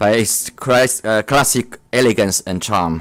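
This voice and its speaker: A man with a Chinese accent talks at a fairly slow pace and a medium pitch with ordinary pitch variation, on a very clean recording with a silent background. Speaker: diplomat. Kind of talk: formal speech. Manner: halting.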